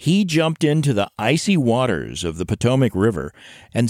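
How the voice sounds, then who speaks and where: In a very clean recording with a silent background, a man of medium pitch speaks at a moderate pace, his pitch swinging very widely. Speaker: radio host. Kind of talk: scripted announcing.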